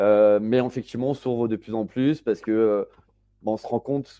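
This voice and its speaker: A man speaks at a moderate pace. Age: 30s. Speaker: web3 entrepreneur and incubator co-founder. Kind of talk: casual interview. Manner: casual, many fillers and hesitations.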